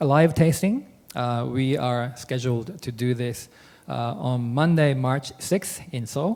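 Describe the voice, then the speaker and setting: A man speaks with a Japanese accent. His pitch is medium, with ordinary variation. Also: fairly slow pace. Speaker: wine trade association director. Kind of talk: business presentation. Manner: halting, many fillers.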